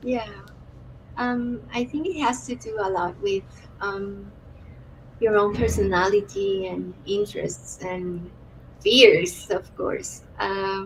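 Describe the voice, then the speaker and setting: A woman with a Spanish accent, very slow, with long, frequent pauses. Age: 30s. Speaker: author-illustrator and art therapist. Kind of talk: interview conversation. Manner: halting.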